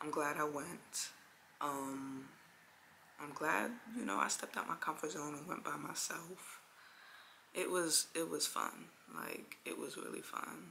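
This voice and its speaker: A soft-spoken woman with a New York accent at a fairly slow pace, long, frequent pauses and noticeable background noise. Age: 20s. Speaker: vlogger. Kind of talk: casual vlog talk.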